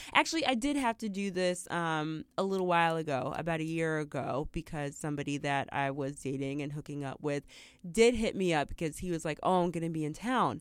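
A woman with a fairly low pitch and ordinary pitch variation, at a fairly quick pace with hardly any pauses, a normal speaking voice. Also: very clean recording, silent background. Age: 30s. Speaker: podcast co-host. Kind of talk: casual chat.

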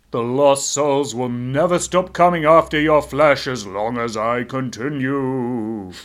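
Put-on character voice from a man at medium pitch, fairly slow pace, very clean recording with a silent background. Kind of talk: stereotypical ghost voice. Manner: ominous, spooky.

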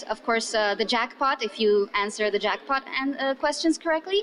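A woman talks with a high pitch and lively intonation. Noticeable background noise sits behind her. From Romania. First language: Romanian. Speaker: English teacher, pub quiz host. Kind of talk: casual interview storytelling.

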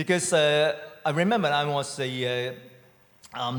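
With a Hong Kong accent, a man speaks at a fairly high pitch with ordinary pitch variation. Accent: Hong Kong Cantonese-accented English. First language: Cantonese. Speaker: immigrant church member. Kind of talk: testimony. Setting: stage with audience. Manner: halting.

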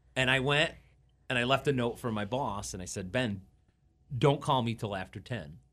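A man with an American accent talks at a medium pitch and a moderate pace, with vocal fry and ordinary pitch variation. The background is quiet. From upstate New York (Watertown, Syracuse area). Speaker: radio DJ. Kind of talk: casual chat. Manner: halting, repeats words.

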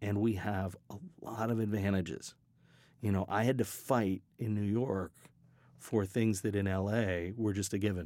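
This man's voice has a dark, mellow tone and a fairly low pitch, with fairly even intonation. He keeps a moderate pace and very even loudness. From US West, Colorado and Hawaii. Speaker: sound design professor. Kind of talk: interview. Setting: studio.

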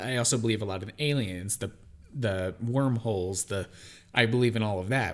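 Recorded very cleanly with a silent background, a man with a normal speaking voice talks at a moderate pace, his pitch fairly low with ordinary variation. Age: 20s. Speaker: podcast co-host. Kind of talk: casual chat.

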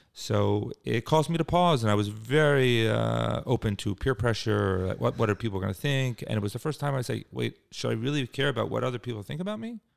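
A man speaks with a Philadelphia accent at a fairly quick pace, with hardly any pauses. The recording is very clean, with a silent background. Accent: Philadelphia-area American. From US Northeast (Cherry Hill, New Jersey, Philadelphia suburbs). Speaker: nonprofit executive. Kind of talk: interview. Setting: office suite near the beach.

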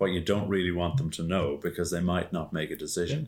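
Very deep and low in pitch, a man speaks with an Irish accent and lively intonation. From Ireland. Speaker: podcast co-host. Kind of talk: casual chat. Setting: video call.

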